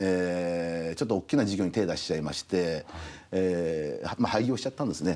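A man's very deep, low voice with a dark, mellow tone at a fairly quick pace. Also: ordinary pitch variation. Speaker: restaurant company CEO; guest. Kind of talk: TV interview. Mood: friendly, smiling. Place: studio. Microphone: lapel.

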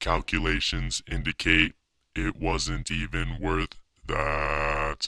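A man uses a raspy, put-on character voice and speaks at a very slow pace. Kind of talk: robotic speech. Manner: flat, monotone, deadpan.

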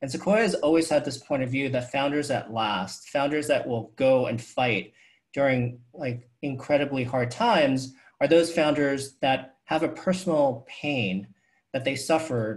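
A man with an American accent speaks at a moderate pace in a fairly high, somewhat breathy voice. His pitch varies in an ordinary way, and the background is quiet. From New York City. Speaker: venture capitalist; guest. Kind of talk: fireside chat interview. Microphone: earbuds.

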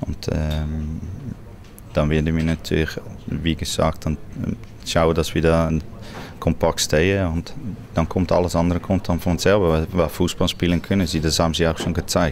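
Over noticeable background noise, a man with a Swiss German accent speaks at a moderate pace in a very deep, low pitch, his intonation monotone and flat, his loudness very even, and his pauses long and frequent. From Netherlands. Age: 40s. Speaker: football coach. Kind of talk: interview answer.

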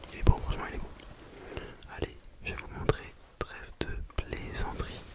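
A man whispers in a soft-spoken voice at a moderate pace. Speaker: ASMR creator. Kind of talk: soft whispered ASMR chat. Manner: soft ASMR whisper by microphone. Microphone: studio mic.

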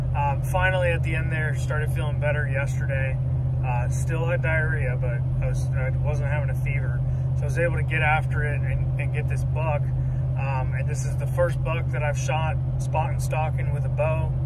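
A man speaks at a moderate pace over loud background noise. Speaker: hunting vlogger. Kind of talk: casual vlog chat. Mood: reflective, grateful. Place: car. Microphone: phone near.

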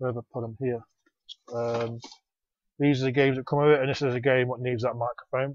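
Against noticeable background noise, a man talks at a very fast pace in a monotone, flat way, and the sound is dry with no echo. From England. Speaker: retro game collector YouTuber. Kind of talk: casual show-and-tell vlog. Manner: halting, many fillers. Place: home room. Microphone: lapel.

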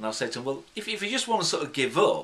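Here a man talks with a British accent. His pace is fairly quick. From UK. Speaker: hypnotherapist; hypnotherapist trainer. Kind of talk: tutorial. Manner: unscripted, conversational. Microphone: phone near.

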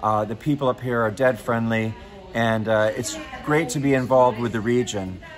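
With music in the background, a man speaks with an American accent at a moderate pace and fairly even intonation. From United States. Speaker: customer service advisor, former TV weatherman. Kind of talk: casual talk to camera. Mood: upbeat, friendly. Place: station. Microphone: lapel.

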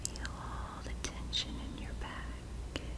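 A woman talks very slowly while loud noise fills the background. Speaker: hypnosis guide. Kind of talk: ASMR guided relaxation hypnosis. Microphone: studio mic.

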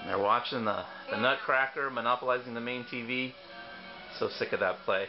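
Over music in the background, a man speaks in an enthusiastic tone at a fairly quick pace, broken by long, frequent pauses. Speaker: company CEO. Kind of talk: infomercial presentation. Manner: casual, enthusiastic.

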